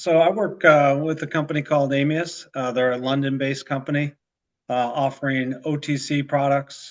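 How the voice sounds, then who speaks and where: Against a quiet background, a man speaks with fairly even intonation. His pitch is fairly high and his pace moderate. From Chicago, north side. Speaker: commodities risk broker. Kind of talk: casual chat. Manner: halting.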